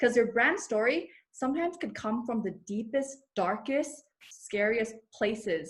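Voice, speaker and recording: With a slight Thai accent, a woman speaks at a moderate pace in a fairly high pitch with ordinary pitch variation, on a very clean recording with a silent background. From Thailand. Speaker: personal branding coach. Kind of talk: podcast interview.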